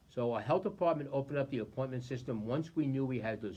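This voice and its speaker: A man's somewhat breathy voice at a medium pitch, at a very fast pace. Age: 60s. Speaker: county executive. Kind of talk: public briefing.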